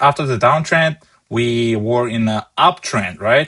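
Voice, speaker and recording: A man with a non-native accent speaks at a medium pitch in a bright, sharp tone, his intonation lively. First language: not English. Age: 20s. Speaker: stock market trader and streamer. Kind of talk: live market analysis stream. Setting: live stream with chat.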